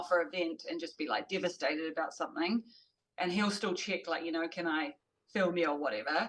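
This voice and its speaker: A woman with a New Zealand accent talks at a fairly quick pace. Her pitch is fairly low, with ordinary variation. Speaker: CrossFit athlete. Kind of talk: podcast interview answer.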